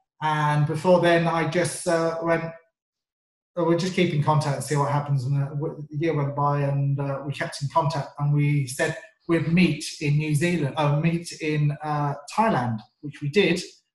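Speaking in a southern English accent, a man keeps a monotone, flat intonation at a moderate pace. His voice is somewhat breathy and fairly high-pitched. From England, North London. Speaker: sales trainer. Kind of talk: interview.

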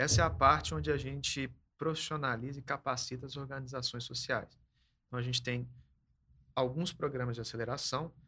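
A man with a bright, sharp tone speaks at medium pitch with ordinary pitch variation. His pace is fairly quick, broken by long, frequent pauses. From Belo Horizonte, Minas Gerais, Brazil. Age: 20s. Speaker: social program manager. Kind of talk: casual chat.

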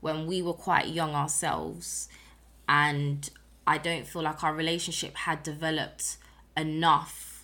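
In a British accent, a woman speaks at a fairly slow pace with a fairly low pitch and monotone, flat intonation. Her tone is bright and sharp, on a very clean recording with a silent background. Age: 20s. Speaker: podcast host, single mother. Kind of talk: personal storytelling monologue. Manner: casual.

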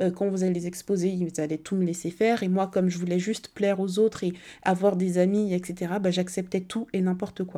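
Her pitch medium and her tone dark and mellow, a woman speaks at a fairly quick pace in a monotone, flat intonation on a very clean recording with a silent background. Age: 20s. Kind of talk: casual monologue.

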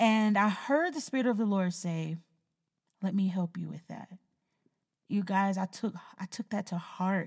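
A woman with a medium-pitched, somewhat breathy voice speaks at a moderate pace in an animated tone with ordinary pitch variation. She leaves long, frequent pauses. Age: 30s. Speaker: podcast host. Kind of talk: casual chat.

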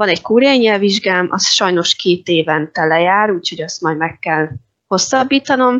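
The woman has an unremarkable speaking voice at a medium pitch. She talks at a moderate pace with lively intonation. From Hungary. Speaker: Korean language teacher. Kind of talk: interview.

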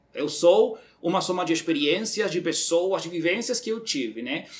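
Speaking in a Uruguayan accent, a man with a high pitch talks at a fairly slow pace. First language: Spanish (speaking Portuguese). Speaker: recruitment manager. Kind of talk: casual chat.

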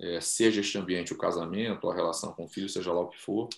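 A man against a quiet background. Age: 50s. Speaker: podcast host. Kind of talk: casual interview.

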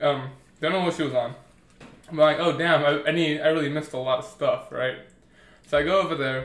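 Over noticeable background noise, a man with a fairly high pitch talks at a fairly quick pace and with fairly even intonation. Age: 20s. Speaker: podcast co-host. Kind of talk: casual chat.

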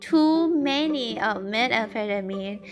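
A woman speaks with a Thai accent. Her pace is very slow. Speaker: podcaster practicing English. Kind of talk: solo audio diary. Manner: casual, meandering non-native speech.

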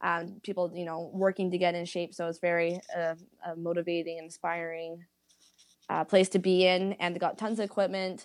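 In a very clean recording with a silent background, a woman with a Canadian accent speaks at a moderate pace with a fairly low pitch and a flat monotone. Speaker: pageant winner and fitness instructor. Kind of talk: casual interview.

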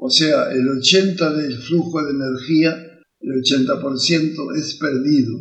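A man talks at a very slow pace with hardly any pauses. His fairly high pitch is somewhat breathy, with ordinary pitch variation. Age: 80s+. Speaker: professor and educational podcaster. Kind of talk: lecture. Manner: halting.

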